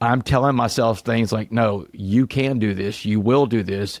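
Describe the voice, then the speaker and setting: A man speaks in a plain, everyday voice with an American accent, medium pitch and ordinary pitch variation at a moderate pace. The recording is very clean, dry and close with no echo, and the background is silent. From Southeast Texas. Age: 40s. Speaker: motivational speaker, former prisoner. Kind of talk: podcast interview.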